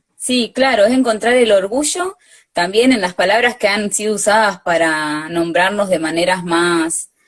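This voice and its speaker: With a normal speaking voice, a woman talks at medium pitch and ordinary pitch variation. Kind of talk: live interview. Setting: video call.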